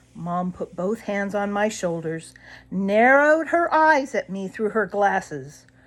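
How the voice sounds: Lively intonation in a natural reading voice.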